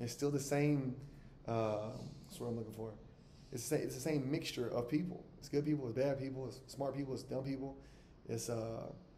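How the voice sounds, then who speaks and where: Speaking at a fairly quick pace, a man with a medium-pitched voice keeps fairly even intonation amid audible room echo. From US South, Alabama. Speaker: travel vlogger, expat. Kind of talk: casual monologue to camera. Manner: conversational, with frequent fillers and repetitions.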